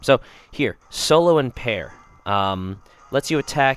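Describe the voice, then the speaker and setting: A man talks with lively intonation. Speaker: video game reviewer. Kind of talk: gameplay commentary. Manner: halting, many fillers.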